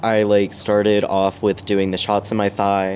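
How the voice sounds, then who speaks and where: A man speaks with an American accent. His pitch is fairly low. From Arizona. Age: 20s. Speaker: adult content creator. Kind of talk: casual interview chat.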